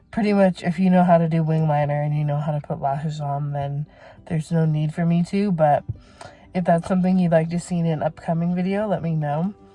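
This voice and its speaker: With music in the background, a woman speaks at a fairly quick pace in a fairly low pitch with fairly even intonation. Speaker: beauty vlogger. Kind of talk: casual vlog talk. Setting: in a car. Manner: halting, stuttering.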